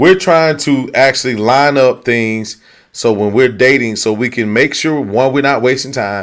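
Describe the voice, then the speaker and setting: A man at a moderate pace with ordinary pitch variation, in a very clean recording with a silent background. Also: medium pitch for a man. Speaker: dating talk show host. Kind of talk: casual chat. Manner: loud.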